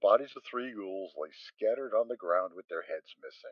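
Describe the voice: A man talks at a fairly quick pace with big pitch swings. The sound is dry and close, with no echo.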